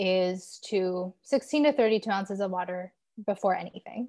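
Against a silent background in a very clean recording, a woman with a Californian accent speaks at a moderate pace with fairly even intonation. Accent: Californian American. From Southern California. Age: 20s. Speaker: holistic health coach. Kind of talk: casual chat interview.

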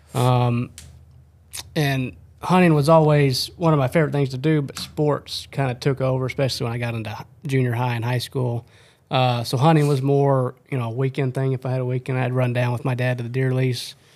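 A man with a medium-pitched voice talks at a fairly quick pace with fairly even intonation, in a normal speaking voice. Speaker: podcast host, outdoor video producer. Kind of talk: casual chat.

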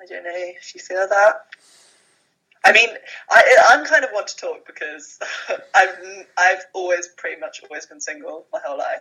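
The speech moves at a moderate pace with long, frequent pauses. Its loudness swings widely. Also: woman. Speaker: podcast co-host. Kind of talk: casual chat. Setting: phone recording.

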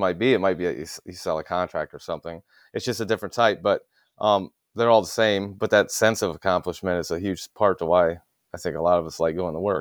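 A man with an American accent and a very deep, low pitch talks at a very fast pace with ordinary pitch variation, in a dry, close sound with no echo and a very clean recording with a silent background. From US Midwest, Ohio. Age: 30s. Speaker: industrial refrigeration technician. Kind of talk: casual chat.

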